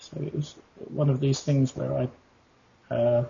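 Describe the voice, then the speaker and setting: The speaker has an English accent and a somewhat breathy voice. The intonation stays monotone and flat. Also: man. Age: 50s. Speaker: pilot. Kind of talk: interview. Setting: internet call. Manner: halting.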